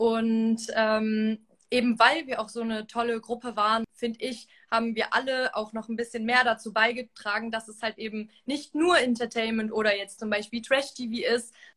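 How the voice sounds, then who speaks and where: A woman speaks at a moderate pace with hardly any pauses. Her pitch is fairly high and her intonation fairly even. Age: 20s. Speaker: reality TV contestant. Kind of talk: interview. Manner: halting.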